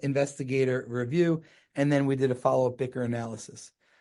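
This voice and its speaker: A man speaks with a New Jersey accent, fairly high in pitch. His tone is dark and mellow. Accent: New Jersey American. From US Northeast (New Jersey). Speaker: gynecologic oncologist. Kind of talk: podcast interview. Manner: fast; mumbling at times.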